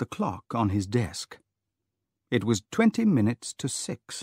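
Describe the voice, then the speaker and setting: A man with a British accent at medium pitch, very slow pace, very clean recording and silent background. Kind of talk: audiobook narration for English learners.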